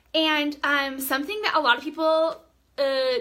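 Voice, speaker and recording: A woman speaks fairly slowly in a raised, projected voice, her tone animated, bright and sharp. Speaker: direct sales team leader. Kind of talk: live-stream training talk. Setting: live video stream. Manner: loud, animated.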